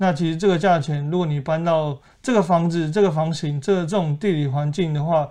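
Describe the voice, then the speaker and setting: At a fairly quick pace, a man talks with fairly even intonation, a fairly high pitch and a dark, mellow tone. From Taiwan, Keelung. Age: 20s. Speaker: real estate agent. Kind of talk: casual interview.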